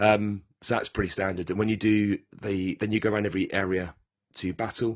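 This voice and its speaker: A man's fairly low, monotone, flat voice in a British accent at a fairly quick pace. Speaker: board game podcast co-host. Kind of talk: casual chat.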